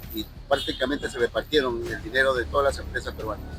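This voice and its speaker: Music plays in the background. A man is speaking. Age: 60s. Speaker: interviewee. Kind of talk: interview.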